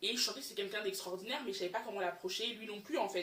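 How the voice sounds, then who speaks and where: This clip features a woman. She talks at a mid-level pitch. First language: English (speaking French). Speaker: YouTuber. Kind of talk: personal storytime vlog. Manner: halting, many fillers.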